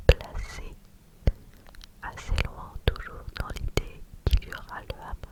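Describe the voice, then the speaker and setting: A woman's whispering, very slow and full of long, frequent pauses, with big swings in loudness and noticeable background noise. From France. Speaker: ASMR creator. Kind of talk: ASMR whispered screen-recording narration. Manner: whispered, soft, slow.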